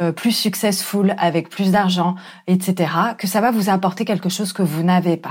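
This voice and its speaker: A woman at medium pitch and fairly slow pace on a very clean recording with a silent background. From France. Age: 30s. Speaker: life coach. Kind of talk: solo podcast monologue. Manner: hesitant, with fillers.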